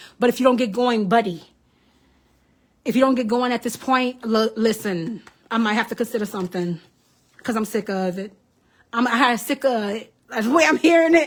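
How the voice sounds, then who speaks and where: The speech has an animated tone and ordinary pitch variation, broken by long, frequent pauses. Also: woman, fairly high pitch for a woman. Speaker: psychic medium, tarot reader. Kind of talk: live stream tarot reading. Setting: Facebook live stream. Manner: fast.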